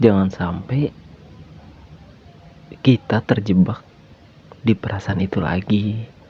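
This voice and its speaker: The pace is fairly slow, with a relaxed tone. Pitch varies in an ordinary way. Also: man. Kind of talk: casual podcast talk about feelings. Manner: relaxed, conversational, soft-spoken.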